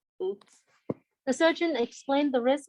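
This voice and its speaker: A woman's high voice with a non-native accent, dry and close with no echo. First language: not English. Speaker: statistics teacher. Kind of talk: lecture. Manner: conversational, asks students questions.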